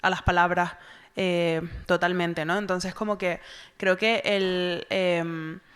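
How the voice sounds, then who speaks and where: At a very slow pace, a woman with a Canarian accent speaks in a fairly low pitch with monotone, flat intonation. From Tenerife, Canary Islands (south, Granadilla de Abona). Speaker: novelist. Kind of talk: literary festival conversation.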